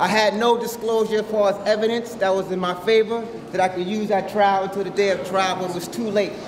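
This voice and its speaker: Someone with an American accent speaks fairly quickly in a flat monotone. Room echo is audible, and so is noticeable background noise. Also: man. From New York, Nassau County. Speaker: community outreach worker, formerly incarcerated. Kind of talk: testimony.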